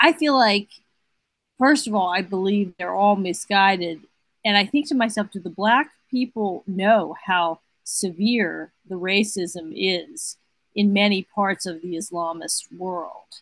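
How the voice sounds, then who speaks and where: Speaking at a fairly slow pace, a woman has an unremarkable speaking voice with medium pitch and ordinary pitch variation. The sound is dry and close with no echo, over a quiet background. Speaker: guest co-host. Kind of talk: talk radio discussion. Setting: remote connection from Pittsburgh.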